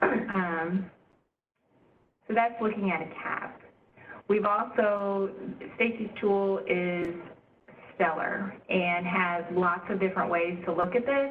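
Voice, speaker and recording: A woman talks at a very slow pace, with long, frequent pauses. Her ordinary pitch variation is heard through audible room echo. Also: medium pitch for a woman. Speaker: state agency staff presenting at stakeholder meeting. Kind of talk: presentation at public meeting.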